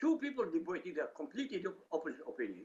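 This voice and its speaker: The speaker talks at a fairly quick pace. They have an Arabic accent. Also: man. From Iraq. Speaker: author and critic of religion. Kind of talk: interview. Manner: animated.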